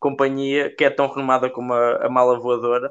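A plain, everyday voice from a man, fairly high in pitch and at a fairly quick pace. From central Portugal. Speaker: podcast co-host. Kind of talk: casual chat.

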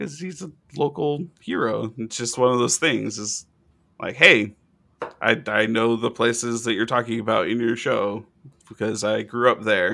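With a bright, sharp tone and some vocal fry, a man speaks at a moderate pace and a medium pitch with ordinary pitch variation. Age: 30s. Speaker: podcast co-host. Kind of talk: casual chat.

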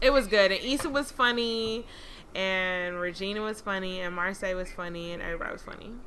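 Very fast speech with an American accent, a bright, sharp tone, ordinary pitch variation and audible room echo. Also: woman, medium pitch for a woman. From Atlanta, US South. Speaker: podcast co-host. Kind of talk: casual chat.

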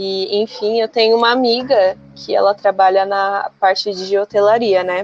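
A normal speaking voice, delivered at a moderate pace. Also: woman, dry, close sound with no echo. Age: 20s. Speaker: environmental management graduate. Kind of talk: casual chat.

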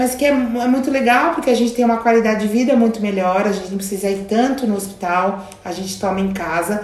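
The intonation stays fairly even. Noticeable background noise and audible room echo are present. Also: woman. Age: 50s. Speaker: youtuber and cancer patient. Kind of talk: casual interview. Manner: halting.

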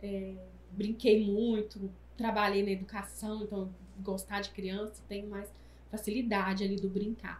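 Over noticeable background noise and audible room echo, a woman talks at a fairly slow pace in a monotone, flat intonation. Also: medium pitch for a woman. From Brazil, Minas Gerais. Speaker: entrepreneur and mother. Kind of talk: casual chat.

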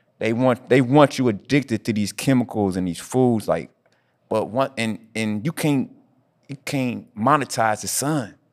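Recorded very cleanly with a silent background, a man speaks at a fairly slow pace, medium in pitch with ordinary pitch variation. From Indianapolis, US Midwest. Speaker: fitness podcast host. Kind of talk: casual chat. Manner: animated.

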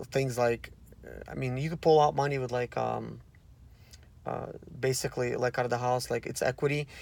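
At a fairly quick pace, a man of medium pitch speaks in a monotone, flat intonation. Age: 30s. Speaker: podcaster on real estate investing. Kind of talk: casual vlog monologue. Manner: hesitant, many fillers.

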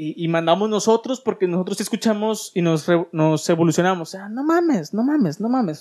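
A man talks at a fairly quick pace with lively intonation, big swings in loudness and hardly any pauses. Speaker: podcast host. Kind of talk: casual chat. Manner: stutters at times; animated.

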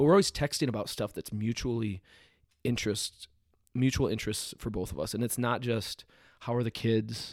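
The recording is dry and close, with no echo. A man talks at a fairly quick pace. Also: medium pitch for a man, ordinary pitch variation. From US Midwest, Iowa. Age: 30s. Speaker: CrossFit coach and gym owner. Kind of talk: podcast interview. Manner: animated.

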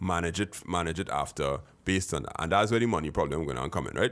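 The recording is very clean with a silent background, and the intonation is lively. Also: man. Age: 40s. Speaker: tech podcast host. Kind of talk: casual chat.

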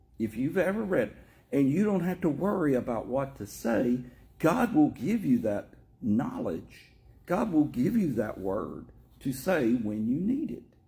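In a Tennessee accent, a man talks at a fairly slow pace with a fairly high pitch, very wide pitch swings, vocal fry and a dark, mellow tone. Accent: Southern US, Tennessee. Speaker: church teacher and prayer leader. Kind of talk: sermon and prayer. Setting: church.

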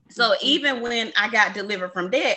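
A woman speaks in an ordinary speaking voice, fairly high-pitched, with ordinary pitch variation. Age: 20s. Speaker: podcast host. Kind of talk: casual chat.

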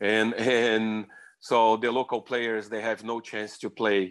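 Against a quiet background, a man with a Brazilian accent speaks fairly slowly in a fairly low pitch, his intonation flat and monotone. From Brazil, Rio de Janeiro. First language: Portuguese. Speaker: beach soccer coach. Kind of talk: interview. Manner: repetitive, non-native phrasing.

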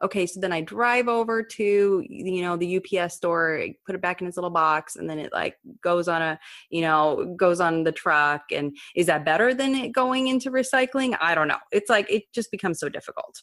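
Intonation is lively as a woman talks at a moderate pace. She has an unremarkable speaking voice. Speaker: podcast host. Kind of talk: interview conversation.

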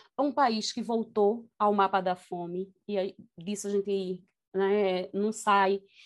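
A woman speaks at a very slow pace, her pitch medium and her intonation fairly even. The background is quiet. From Brazil, Recife (north zone). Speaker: university professor and researcher. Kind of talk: interview conversation.

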